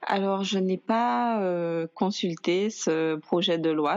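A woman is speaking. Her pitch is fairly low, with ordinary variation. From Guadeloupe. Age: 20s. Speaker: blogger. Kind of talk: casual chat.

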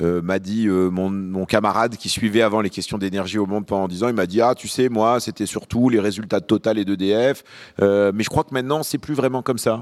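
A man with a fairly low voice talks at a fairly quick pace with ordinary pitch variation, using an unremarkable speaking voice on a very clean recording with a silent background. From Lyon, France (born in Beirut). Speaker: journalist and podcast host. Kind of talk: panel discussion. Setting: stage with audience.

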